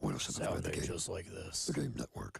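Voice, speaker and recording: A man rattles along at a very fast pace in a put-on character voice. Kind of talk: broadcast.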